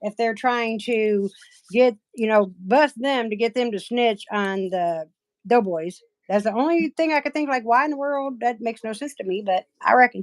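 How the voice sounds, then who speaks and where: A woman with an Appalachian accent, fairly high pitch and ordinary pitch variation at a moderate pace, in a dry, close sound with no echo. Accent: Appalachian accent, lighter than relatives'. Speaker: nail artist livestreamer. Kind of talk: casual chat. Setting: livestream.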